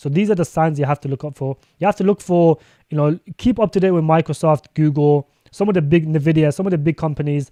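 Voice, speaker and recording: A man with a British accent and a dark, mellow tone speaks at a very fast pace. His pitch is fairly high with ordinary variation, in a dry, close sound with no echo. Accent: British accent, noticeable to viewers. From UK. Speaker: crypto streamer. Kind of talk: live stream commentary. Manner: casual, filler-heavy.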